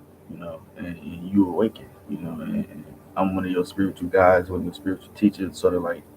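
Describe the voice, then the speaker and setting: Background noise is noticeable throughout. A man's voice comes through it. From Chicago, US. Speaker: self-styled spiritual teacher, vlogger. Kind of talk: casual morning devotional vlog. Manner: casual, repetitive with false starts.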